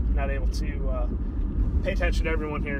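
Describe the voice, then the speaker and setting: With loud background noise all around, the man's voice itself is dry and free of echo. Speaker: podcaster on a live stream. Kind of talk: casual vlog chat. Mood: relaxed, friendly. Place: car. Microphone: phone near.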